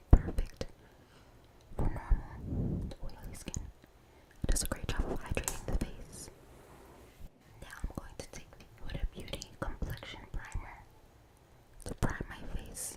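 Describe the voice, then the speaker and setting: A woman whispers at a fairly slow pace, leaving long and frequent pauses, with noticeable background noise behind her. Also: big swings in loudness. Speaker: ASMR makeup creator. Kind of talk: ASMR makeup tutorial to camera. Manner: whispered, soft.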